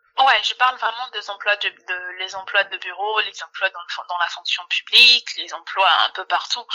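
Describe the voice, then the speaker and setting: Using an ordinary speaking voice, a woman talks at a moderate pace with hardly any pauses, medium pitch, ordinary pitch variation and big swings in loudness, in a dry, close sound with no echo. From Democratic Republic of the Congo. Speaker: HR entrepreneur and payroll officer. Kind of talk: interview.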